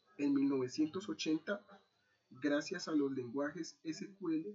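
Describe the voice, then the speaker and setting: Speaking at a very slow pace, a man uses a fairly high pitch with ordinary variation. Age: 30s. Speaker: army NCO and university student. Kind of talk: class presentation. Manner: hesitant, many fillers.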